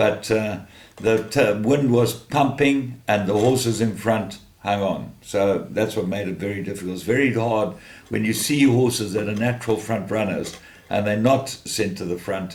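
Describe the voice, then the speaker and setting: A man talks at a moderate pace with ordinary pitch variation, and the room echo is audible. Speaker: horse racing tipster. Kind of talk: racing tips monologue.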